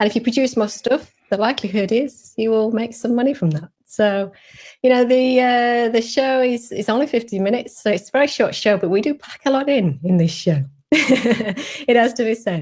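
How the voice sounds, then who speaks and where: Speaking with a British accent, a woman with fairly high pitch keeps a moderate pace and ordinary pitch variation. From UK. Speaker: show host. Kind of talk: interview.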